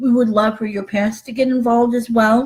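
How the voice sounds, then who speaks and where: A woman talks in a high pitch. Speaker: human trafficking survivor and advocate. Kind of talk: live webinar talk. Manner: halting, many fillers.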